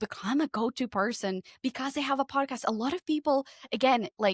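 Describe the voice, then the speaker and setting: A woman with a Portuguese accent talks at a fairly quick pace with lively intonation. The very clean recording has a silent background and a dry, close sound with no echo. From Portugal. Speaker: podcast consultant. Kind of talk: casual chat.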